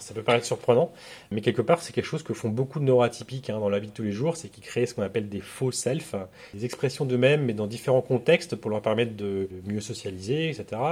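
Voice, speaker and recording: Talking at a very fast pace, a man with a medium-pitched, somewhat breathy voice shows ordinary pitch variation and big swings in loudness. The recording is very clean, with a silent background. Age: 40s. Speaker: agency founder in recruitment marketing. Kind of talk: interview. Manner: halting.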